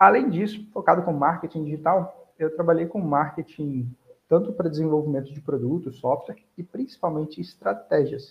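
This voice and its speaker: A man with a fairly high pitch and an unremarkable speaking voice. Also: lively intonation, moderate pace. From Búzios, Rio de Janeiro state, Brazil. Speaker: digital marketing strategist. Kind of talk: casual online webinar interview.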